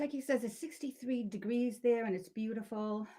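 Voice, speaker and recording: The speaker is a woman with a Boston accent. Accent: Boston-area New England. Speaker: wreath-making tutorial host. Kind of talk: live-stream crafting tutorial, reading viewer comments. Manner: casual, hesitant with fillers.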